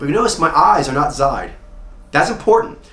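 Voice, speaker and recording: Audible room echo colors the recording. The speaker is a man. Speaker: personality coach. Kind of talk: lecture. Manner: fast.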